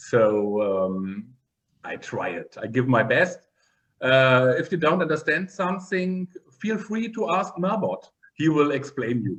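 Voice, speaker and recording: Speaking fairly slowly with a non-native accent, a man has a fairly high pitch. His pitch swings very widely. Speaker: occupational therapist and meditation researcher. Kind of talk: online interview. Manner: halting.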